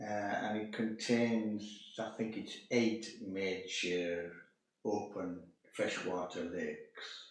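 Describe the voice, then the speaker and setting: Talking very slowly in a monotone, flat intonation, a man with a fairly low pitch is heard with audible room echo. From northern England, Carlisle in Cumbria. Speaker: host's father. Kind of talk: casual interview.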